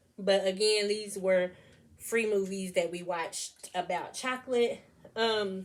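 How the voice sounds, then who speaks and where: At a fairly slow pace, a woman speaks in a normal speaking voice with ordinary pitch variation. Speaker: homeschooling mother and vlogger. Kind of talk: casual vlog talk with her children.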